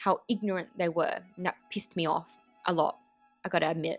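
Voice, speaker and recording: With an Australian accent, a woman speaks at medium pitch and fairly even intonation, the sound dry and close with no echo. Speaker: YouTube commentator. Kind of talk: opinion vlog.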